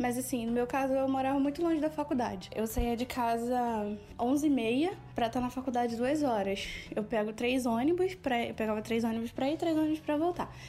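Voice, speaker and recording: Amid noticeable background noise, a woman with a high pitch speaks at a moderate pace, her loudness very even and her pitch varying in an ordinary way. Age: 30s. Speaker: social worker. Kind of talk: interview testimony.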